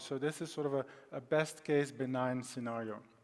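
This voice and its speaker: Speaking at a moderate pace with a Belgian accent, a man shows ordinary pitch variation. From Belgium. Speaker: data science consultant. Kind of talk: conference presentation. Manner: halting, many fillers.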